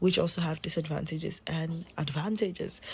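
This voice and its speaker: A woman speaks at a moderate pace in a very deep, low voice that is somewhat breathy. Her intonation is monotone and flat. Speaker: health commentator. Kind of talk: casual vlog monologue. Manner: halting, with many fillers.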